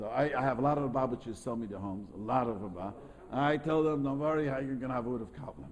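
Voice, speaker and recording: Through audible room echo, a man talks at a very fast pace. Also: medium pitch for a man, ordinary pitch variation. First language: not English. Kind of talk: lecture with class discussion. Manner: halting, repetitive.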